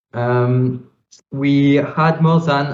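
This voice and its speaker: A man speaks with a French accent, his voice somewhat breathy and his pitch varying an ordinary amount. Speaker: crypto startup founder. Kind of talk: panel discussion.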